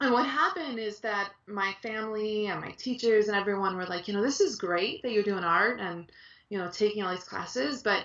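Ordinary pitch variation marks this woman's delivery. She speaks at a fairly quick pace over a quiet background. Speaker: guest. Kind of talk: interview answer. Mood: warm, reflective storytelling. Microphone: video call.

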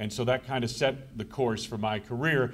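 The man's delivery moves along fairly quickly. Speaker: radio sports broadcaster. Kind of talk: speech to an audience at a conference. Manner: conversational, anecdotal. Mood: warm, reminiscing. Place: hall. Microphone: podium.

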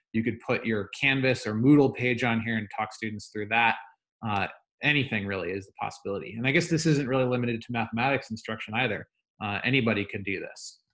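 Speaking at a very fast pace, this man shows ordinary pitch variation over a quiet background. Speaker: teacher. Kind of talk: tutorial. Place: home room. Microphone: webcam.

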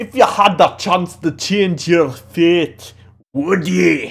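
A man puts on a character voice in a Scottish accent. He talks at a high pitch and a very slow pace.

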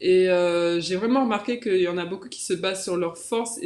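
With fairly even intonation, a woman speaks at a medium pitch and a moderate pace. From metropolitan France. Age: 20s. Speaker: professional basketball player; guest. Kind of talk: interview. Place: home room. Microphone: video call.

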